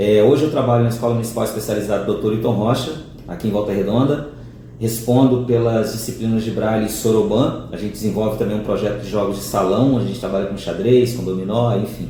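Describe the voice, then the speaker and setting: A man with a fairly low pitch and ordinary pitch variation talks at a very fast pace amid noticeable background noise and audible room echo. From Minas Gerais, Brazil (Ipatinga). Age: 40s. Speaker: teacher of the blind. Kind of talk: interview. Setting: seated beside the interviewer, on camera.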